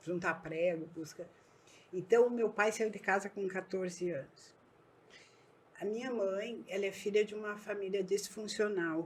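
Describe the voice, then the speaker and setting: The speaker has a southern Brazilian accent. The intonation stays fairly even. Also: woman. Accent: gaúcho Brazilian Portuguese. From southern Brazil, Erechim (Rio Grande do Sul). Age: 60s. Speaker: businesswoman. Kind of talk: podcast interview.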